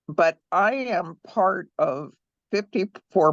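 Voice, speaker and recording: Dry, close sound with no echo against a quiet background. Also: woman. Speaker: psychic medium. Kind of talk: casual chat.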